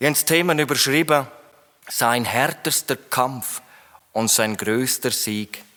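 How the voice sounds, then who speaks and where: A man talks at a medium pitch. The variation in his pitch is ordinary. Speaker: preacher. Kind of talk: sermon. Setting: church hall, live audience.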